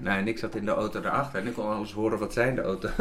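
A man is speaking with ordinary pitch variation. Noticeable background noise can be heard. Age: 50s. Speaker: TV executive producer. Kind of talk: interview. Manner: halting, many repetitions.

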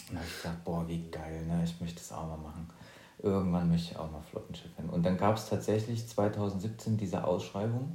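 At a fairly quick pace, a man speaks in a very deep, low, somewhat breathy voice with a dark, mellow tone, ordinary pitch variation and big swings in loudness, and the room's echo can be heard. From eastern Germany, near Leipzig. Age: 30s. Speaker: podcast co-host and professional pilot. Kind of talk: casual chat.

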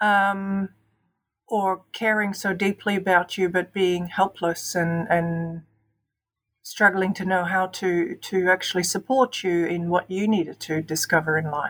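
This woman has an Australian accent and a medium pitch. She talks at a fairly slow pace with fairly even intonation. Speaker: podcast guest, host's sister. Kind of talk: casual chat.

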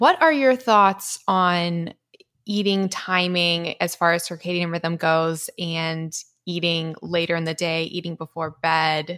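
A plain, everyday voice with fairly even intonation moves at a fairly slow pace. The recording is very clean, with a silent background. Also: woman. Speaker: podcast host. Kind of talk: casual interview.

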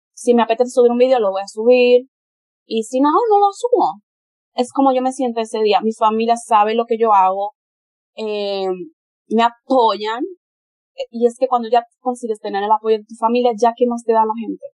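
Pausing long and often, a woman speaks at a moderate pace in a fairly high voice with ordinary pitch variation, the sound dry and close with no echo. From Spain. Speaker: model and adult content creator. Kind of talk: interview conversation.

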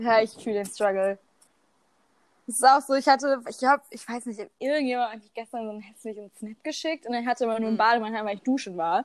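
Talking at a very fast pace, a woman uses a fairly high pitch with ordinary pitch variation and big swings in loudness. The sound is dry and close, with no echo. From Germany. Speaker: podcast co-host. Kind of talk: casual chat. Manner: animated.

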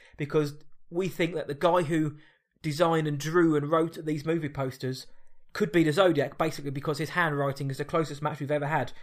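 A man with a British accent, fairly high in pitch, fairly quick and monotone, in a very clean recording with a silent background. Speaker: podcast host. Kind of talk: casual chat.

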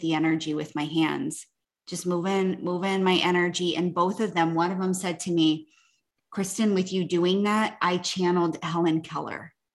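With a normal speaking voice, a woman talks at a moderate pace in a fairly low pitch and fairly even intonation. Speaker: podcast host. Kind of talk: casual chat interview.

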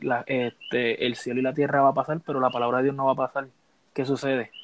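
A man speaks very fast in a Puerto Rican accent. His pitch is medium and his intonation monotone and flat. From Puerto Rico. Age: 20s. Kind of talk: casual chat.

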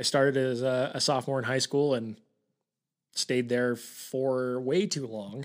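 An unremarkable speaking voice with an American accent comes through in a very clean recording with a silent background. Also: man. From Utah. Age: 20s. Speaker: podcast co-host, real estate agent. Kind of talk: casual chat.

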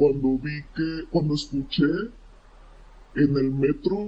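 A man talks at a very slow pace. His pitch is fairly high and varies in an ordinary way. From Monterrey area, Mexico. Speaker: weather social media creator. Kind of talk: casual chat.

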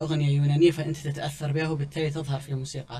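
A man speaks fairly quickly in a fairly high pitch with fairly even intonation. His tone is dark and mellow, and somewhat breathy. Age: 30s. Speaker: music commentator. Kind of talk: casual chat.

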